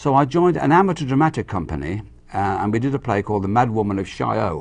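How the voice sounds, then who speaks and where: A man talks at a very fast pace with vocal fry and very wide pitch swings. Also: medium pitch for a man. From Ireland, Dublin, raised in England. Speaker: actor. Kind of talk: interview. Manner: repetitive stammering starts.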